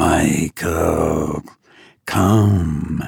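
A man's raspy put-on character voice, very deep and low in pitch, with hissing. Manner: beckoning, sinister.

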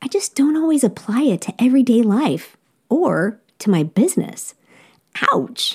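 A woman's somewhat breathy, dark and mellow voice with an American accent and very wide pitch swings. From United States. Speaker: podcast host. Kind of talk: interview, casual chat.

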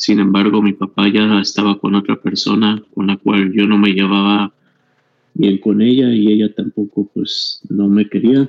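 Using monotone, flat intonation, a man speaks with a fairly low pitch. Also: very even loudness. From Mexico. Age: 40s. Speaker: kidney patient sharing his story. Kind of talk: testimony.

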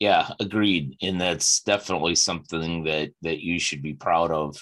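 This man has an American accent and a very deep, low voice, and he talks at a fairly slow pace. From Chicago. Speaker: podcast host. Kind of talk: interview podcast.

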